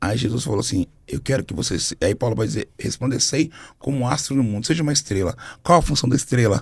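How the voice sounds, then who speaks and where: A man at a medium pitch, somewhat breathy and animated in tone, with lively intonation and a very fast pace. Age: 40s. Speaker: gospel singer and minister. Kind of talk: podcast interview.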